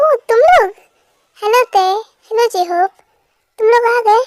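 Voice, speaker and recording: A woman does a squeaky put-on character voice at an extremely high pitch, with very even loudness, ordinary pitch variation and a moderate pace, in a dry, close sound with no echo. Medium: fan dub. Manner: casual, chatty.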